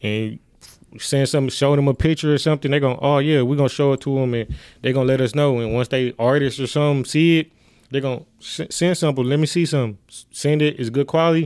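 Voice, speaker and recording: A man with an American accent at a fairly high pitch, very fast pace and fairly even intonation, on a very clean recording with a silent background. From Milwaukee, Wisconsin. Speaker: clothing designer. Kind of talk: casual interview.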